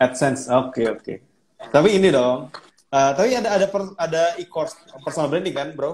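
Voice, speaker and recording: This man talks at a fairly quick pace with lively intonation and a fairly high pitch. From Indonesia, Banjarmasin and Surabaya. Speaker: Instagram live host. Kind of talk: casual live-stream interview.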